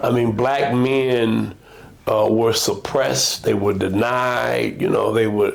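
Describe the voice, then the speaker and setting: With an American accent, a man speaks at a very slow pace and very even loudness. Noticeable background noise sits behind him. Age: 70s. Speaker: pastor. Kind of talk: casual chat.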